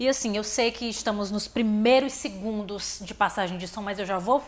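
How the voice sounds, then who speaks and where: Against noticeable background noise, a woman with a fairly high voice speaks in an animated tone at a moderate pace. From Fortaleza, Ceará, Brazil. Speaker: podcast host. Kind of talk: interview. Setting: studio.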